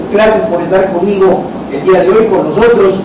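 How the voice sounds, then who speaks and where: A man talks at a fairly quick pace in a high pitch. The room echo is audible and background noise is noticeable. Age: 60s. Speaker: internet show host. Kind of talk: live talk show. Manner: animated.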